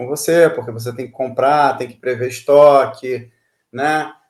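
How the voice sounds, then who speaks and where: A man speaks at a moderate pace with a fairly high pitch. His intonation stays monotone and flat. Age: 50s. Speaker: IT executive. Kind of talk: casual interview. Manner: halting, many fillers.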